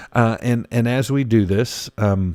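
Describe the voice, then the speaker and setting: In a very clean recording with a silent background, a man uses a normal speaking voice at medium pitch with ordinary pitch variation. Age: 50s. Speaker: pastor, podcast host. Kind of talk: casual chat.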